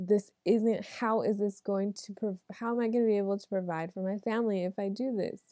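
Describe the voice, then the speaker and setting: A woman's dark, mellow voice, with fairly even intonation, sounds dry and close with no echo on a very clean recording with a silent background. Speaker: tarot reader. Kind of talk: tarot reading monologue. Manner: casual, conversational.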